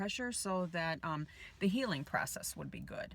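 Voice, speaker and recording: Her voice is somewhat breathy and medium in pitch. The woman keeps a moderate pace. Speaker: vlogger. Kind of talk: vlog. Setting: in a car. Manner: quiet.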